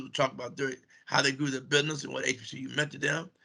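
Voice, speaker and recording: The intonation is monotone and flat, with vocal fry. The tone is bright and sharp. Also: man. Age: 60s. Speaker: cable TV executive. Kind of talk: interview. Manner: casual, filler-heavy speech.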